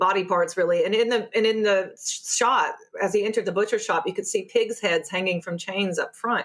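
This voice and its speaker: A woman's medium-pitched voice with an American accent, ordinary pitch variation and a moderate pace, on a very clean recording against a silent background. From US Appalachia. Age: 30s. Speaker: sociology lecturer. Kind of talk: interview conversation.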